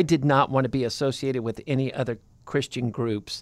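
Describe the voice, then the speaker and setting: An ordinary speaking voice, a man with an American accent talks at a fairly quick pace and fairly high pitch with fairly even intonation. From California. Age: 50s. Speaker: podcast co-host. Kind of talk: casual chat.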